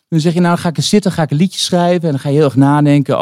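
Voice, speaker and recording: The sound is dry and close, without echo. A man's tone comes across as dark and mellow. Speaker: singer-songwriter. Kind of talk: casual interview. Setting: live recording in a wine bar. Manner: soft-spoken.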